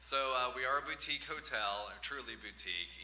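Male speech with light background noise and audible room echo. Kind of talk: public comment answer. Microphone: podium.

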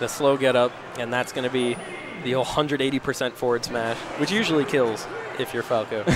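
There is noticeable background noise as a man talks at a moderate pace. His pitch sits in the medium range. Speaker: esports commentator. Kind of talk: live commentary. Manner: animated; conversational, hedging.

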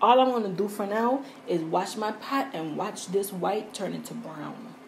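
A woman speaks at a fairly slow pace and a medium pitch, with ordinary pitch variation. Faint background noise sits behind her.

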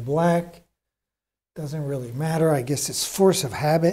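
A somewhat breathy man with an American accent, dark, mellow tone, fairly even intonation and moderate pace. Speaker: painter streaming live. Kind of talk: tutorial. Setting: art studio, live stream. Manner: casual. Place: studio.

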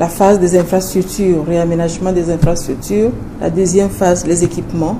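Amid noticeable background noise and audible room echo, a woman with a fairly low pitch speaks at a moderate pace. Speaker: hospital director. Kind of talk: interview.

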